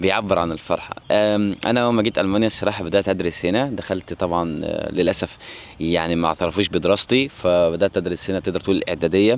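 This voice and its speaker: A very deep, low-pitched man's voice at a fairly quick pace with ordinary pitch variation, over noticeable background noise. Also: hardly any pauses. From Egypt. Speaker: vlogger. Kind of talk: personal storytelling vlog. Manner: halting, frequent restarts.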